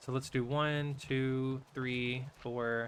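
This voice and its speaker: This man speaks with an American accent. His pitch is medium. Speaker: streamer. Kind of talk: casual live-stream chat while gaming. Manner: chatty, relaxed.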